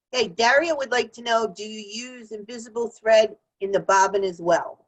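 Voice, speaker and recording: A woman in a New Jersey accent speaks at a moderate pace, her pitch fairly high. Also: ordinary pitch variation, big swings in loudness. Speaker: show host. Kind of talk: casual chat.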